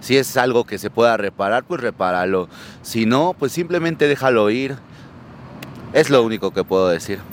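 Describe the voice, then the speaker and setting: A man speaks at a moderate pace and medium pitch with lively intonation. The sound is dry and close with no echo, though noticeable background noise is present. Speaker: rock bassist. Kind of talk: street interview.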